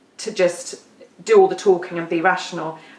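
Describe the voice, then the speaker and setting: Noticeable background noise sits under a woman's fairly low-pitched voice. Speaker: EFT tapping practitioner. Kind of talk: workshop talk. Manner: fast.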